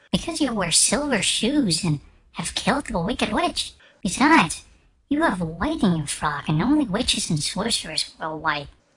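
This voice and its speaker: Putting on a character voice, a woman speaks at a medium pitch and a moderate pace. Her pitch swings very widely. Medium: read story. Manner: grave, earnest.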